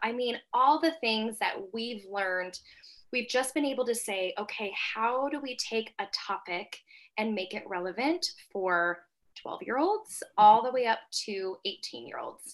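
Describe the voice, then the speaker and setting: A woman speaks with an American accent in an unremarkable speaking voice. Her pitch is fairly high, her intonation lively, and her pace fairly slow. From Colorado, US. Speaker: girls' mentor and coach. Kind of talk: casual chat.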